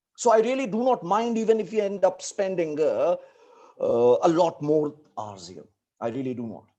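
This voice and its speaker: Moderate pace, in a north Indian accent. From India, Delhi / Uttar Pradesh region. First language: Hindi. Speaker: teacher. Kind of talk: lecture.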